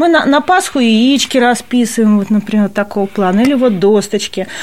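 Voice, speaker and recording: Speaking at a fairly quick pace, a woman's voice swings very widely in pitch. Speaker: cultural center staff member. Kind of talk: interview.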